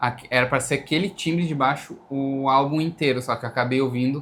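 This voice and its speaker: A man speaks with a fairly high pitch. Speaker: band bassist. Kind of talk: casual chat.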